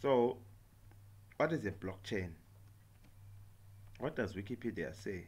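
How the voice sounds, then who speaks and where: Somewhat breathy, fairly low male voice with lively intonation, a fairly slow pace and long, frequent pauses. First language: not English. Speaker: software tutorial maker. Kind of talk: tutorial. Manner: halting, many fillers and repetitions.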